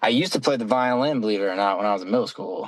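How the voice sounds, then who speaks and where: With an American accent, a man speaks in a plain, everyday voice of medium pitch and ordinary pitch variation. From Ohio. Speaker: roofer. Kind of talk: casual chat.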